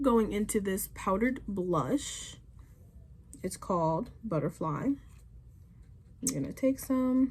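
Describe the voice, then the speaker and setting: Very slowly, a woman with a medium pitch and vocal fry speaks, leaving long, frequent pauses. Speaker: beauty YouTuber. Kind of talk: casual makeup tutorial talk to camera.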